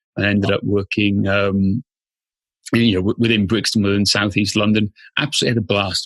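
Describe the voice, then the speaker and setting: In a Welsh accent, the speaker talks at a fairly quick pace with fairly even intonation, the sound dry and close with no echo. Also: man, fairly low pitch for a man. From Wales, rural Machynlleth area. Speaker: fitness business founder, former police officer. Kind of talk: podcast interview.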